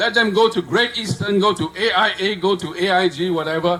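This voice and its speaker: A man with a high pitch speaks in an animated tone against noticeable background noise. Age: 70s. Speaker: speaker at a political rally. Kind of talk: rally speech.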